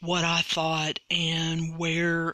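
A man with a fairly high pitch is heard through noticeable background noise. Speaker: podcast host. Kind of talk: episode recap and commentary.

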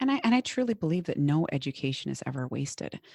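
Very fast and dark, mellow in tone, a woman speaks with a strong Minnesotan accent. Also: dry, close sound with no echo, very clean recording, silent background. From Minnesota, US Midwest. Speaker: business coach. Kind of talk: casual interview conversation.

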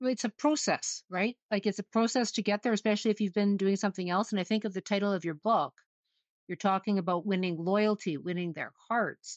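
A woman with a Canadian accent speaks in an ordinary speaking voice at a medium pitch. Her pace is fairly quick, with ordinary pitch variation. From Saskatoon, Canada. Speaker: podcast co-host. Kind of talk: casual interview.

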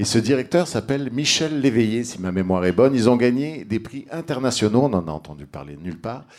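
With very wide pitch swings and big swings in loudness, a man of medium pitch talks at a fairly quick pace with hardly any pauses. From Egypt. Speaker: political candidate. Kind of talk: political debate. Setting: bar with live audience.

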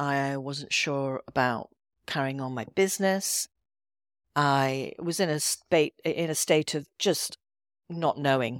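Speaking very slowly in an Edinburgh accent, a woman uses a very deep, low pitch on a very clean recording with a silent background. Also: ordinary pitch variation, dry, close sound with no echo. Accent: Scottish (Edinburgh). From Scotland, Edinburgh. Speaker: intuitive healer and coach. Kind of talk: podcast interview.

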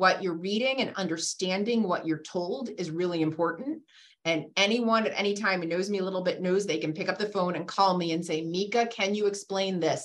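A woman with an American accent and an ordinary speaking voice talks at a fairly quick pace, with hardly any pauses. Her pitch sits in the middle range and moves with ordinary variation. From Massachusetts (Randolph, south of Boston). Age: 50s. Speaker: physician and hospital executive. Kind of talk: casual interview conversation. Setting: video call.

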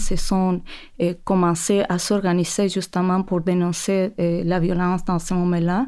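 On a very clean recording with a silent background, a woman with a Spanish accent speaks fairly slowly in a medium-pitched, dark, mellow voice. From Chile. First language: Spanish (speaking French). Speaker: textile artist. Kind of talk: interview conversation. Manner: halting.

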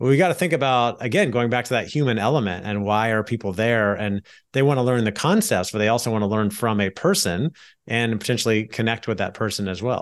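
This man speaks at a medium pitch with ordinary pitch variation. His pace is very fast. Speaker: podcast host. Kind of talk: interview, casual professional chat. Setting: video call.

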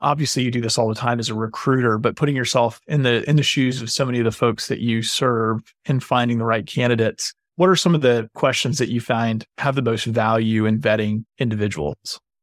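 A man with an ordinary speaking voice talks at a medium pitch and a fairly quick pace, with hardly any pauses and ordinary pitch variation. The sound is dry and close, with no echo. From North Carolina, Boone (mountains). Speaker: podcast host. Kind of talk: interview.

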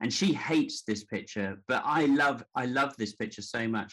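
This is a man speaking. He has a southern English accent. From Devon, south-west England. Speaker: portrait photographer. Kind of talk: interview conversation. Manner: halting, many fillers.

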